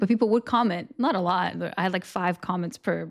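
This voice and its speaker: A woman talks very fast with vocal fry. The recording is very clean, with a silent background. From Portugal. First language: Portuguese. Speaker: streamer. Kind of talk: casual chat. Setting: live stream.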